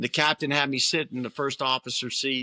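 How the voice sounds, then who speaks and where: The sound is dry and close, with no echo. A man speaks at a moderate pace in a bright, sharp tone. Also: very clean recording, silent background. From Brooklyn, New York. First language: Italian. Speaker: retired military pilot. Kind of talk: interview.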